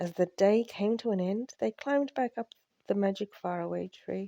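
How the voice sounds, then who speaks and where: The sound is dry and close with no echo, over a quiet background. A woman speaks at a moderate pace with a medium pitch and a dark, mellow tone. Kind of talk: bedtime story narration.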